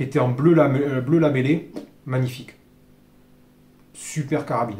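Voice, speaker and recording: A man speaks with a dark, mellow tone and a fairly high, somewhat breathy voice. His intonation is monotone and flat. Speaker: airgun reviewer. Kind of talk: product review tutorial. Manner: fast; hesitant, many fillers.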